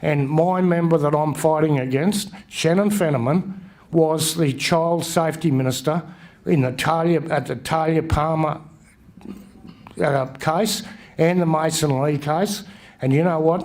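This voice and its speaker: In a room with audible echo, a man with an Australian accent talks at a fairly slow pace, with very even loudness and fairly even intonation. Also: fairly high pitch for a man. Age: 60s. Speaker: election candidate. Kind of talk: campaign speech. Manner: halting.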